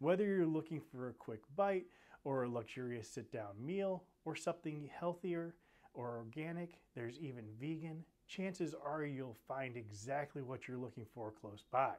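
A man with an American accent, fairly high pitch, lively intonation and a moderate pace. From Bethesda, Maryland, US Mid-Atlantic; Maryland. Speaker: video host. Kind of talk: scripted talk to camera. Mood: upbeat, friendly. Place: studio. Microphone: lapel.

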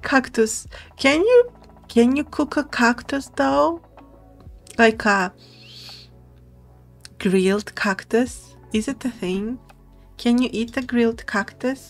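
Over faint music in the background, a woman with a fairly high pitch talks at a very slow pace, using long, frequent pauses and lively intonation. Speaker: vtuber streamer. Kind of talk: casual gaming stream commentary. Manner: soft-spoken.

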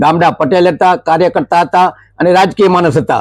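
A man talks in a high pitch. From Kutch, Gujarat (Vagad). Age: 70s. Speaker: shopkeeper and community worker. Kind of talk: interview.

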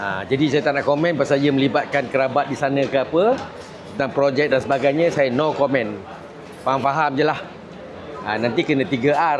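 Crowd noise fills the background as a man with a fairly high pitch talks at a moderate pace with fairly even intonation, his voice carrying audible room echo. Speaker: party information chief and political commentator. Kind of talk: interview commentary. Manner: casual, colloquial with frequent 'ha' interjections.

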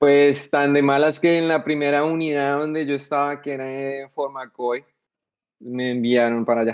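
A man at a moderate pace, fairly high in pitch and monotone with flat intonation, against a quiet background. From Colombia, Bogotá. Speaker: soldier, war veteran; podcast guest. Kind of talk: casual interview. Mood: relaxed, storytelling. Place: home room. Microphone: video call.

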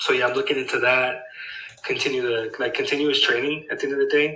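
A man talks with ordinary pitch variation. Room echo is audible. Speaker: real estate acquisitions employee. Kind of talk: work check-in call. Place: home room.

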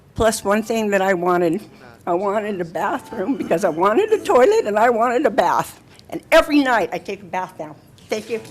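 Against noticeable background noise, a woman talks at a fairly quick pace in a fairly high pitch with lively intonation. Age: 70s. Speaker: public commenter. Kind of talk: testimony. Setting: city council meeting.

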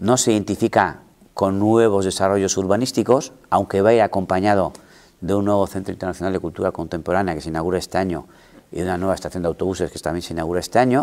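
Pitched fairly low, this man speaks with ordinary variation in his pitch. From Basque Country, Gipuzkoa (Igeldo, San Sebastián). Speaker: mayor. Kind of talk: interview. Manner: halting. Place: office. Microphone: lapel.

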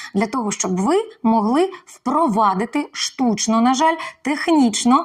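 Lively intonation at a fairly slow pace. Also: woman. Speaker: actress. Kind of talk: Ukrainian language lesson to camera.

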